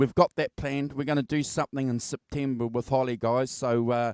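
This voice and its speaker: With an English accent, a man speaks in fairly even intonation, recorded with a dry, close sound and no echo. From England. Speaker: music show host. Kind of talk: casual chat. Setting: live video stream.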